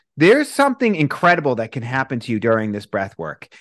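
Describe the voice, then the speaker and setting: A man speaks at a medium pitch with a Boston accent. The background is quiet. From US Northeast, Boston. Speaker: breathwork instructor. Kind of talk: casual interview chat.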